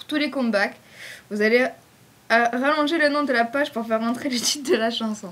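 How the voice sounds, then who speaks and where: Against noticeable background noise, a woman speaks at a high pitch with a southern French accent. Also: ordinary pitch variation, moderate pace. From southern France. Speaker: fan page admin. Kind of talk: casual Q&A video. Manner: casual, hesitant with fillers.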